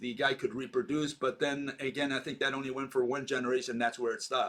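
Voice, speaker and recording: A man speaks in a bright, sharp tone. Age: 70s. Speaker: video channel host discussing science theories. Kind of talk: casual discussion. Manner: halting, many fillers.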